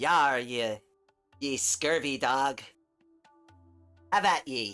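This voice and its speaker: At a very slow pace, a put-on character voice at a low-to-middle pitch is heard over faint music in the background. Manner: bad impression, playful.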